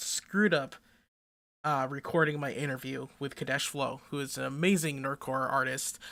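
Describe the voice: In a very clean recording with a silent background, a woman uses a put-on character voice that is hoarse and raspy.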